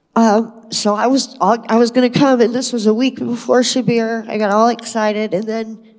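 A woman's fairly high voice at a moderate pace, monotone and flat, with hardly any pauses. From Kentucky. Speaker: spiritual retreat participant. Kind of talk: testimony.

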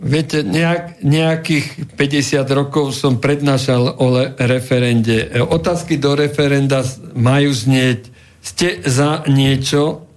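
A man at a fairly high pitch, very slow and very even in loudness, with ordinary pitch variation amid noticeable background noise and audible room echo. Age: 70s. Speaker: former politician and law professor. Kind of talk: radio interview.

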